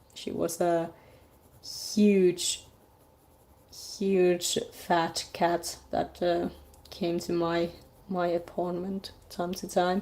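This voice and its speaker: A woman talks at a very slow pace in a dark, mellow tone with a non-native accent. Her delivery is flat and monotone, broken by long, frequent pauses. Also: fairly low pitch for a woman. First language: not English. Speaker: artist live-streaming a drawing. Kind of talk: casual live stream chat. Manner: halting, many fillers.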